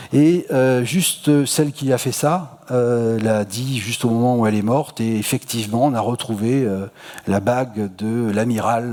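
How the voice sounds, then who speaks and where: A man speaks at a moderate pace in a medium pitch, his intonation rising and falling in an ordinary way. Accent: Marseille. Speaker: astronomy lecturer. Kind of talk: public lecture. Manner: casual, many hesitations and repetitions.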